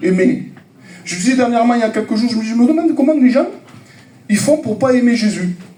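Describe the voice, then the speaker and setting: An animated voice at a fairly quick pace, with ordinary pitch variation, long, frequent pauses, audible room echo and noticeable background noise. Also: man, extremely high pitch for a man. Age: 50s. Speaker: preacher. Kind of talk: sermon.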